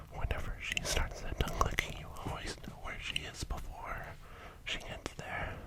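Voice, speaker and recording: Someone is whispering at a moderate pace. Noticeable background noise runs underneath. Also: man. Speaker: ASMR creator. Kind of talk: ASMR whispered talk.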